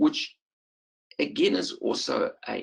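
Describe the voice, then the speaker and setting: A man with a South African accent at a fairly slow pace. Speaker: perinatal psychiatrist. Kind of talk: lecture. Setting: webinar. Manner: halting, many fillers.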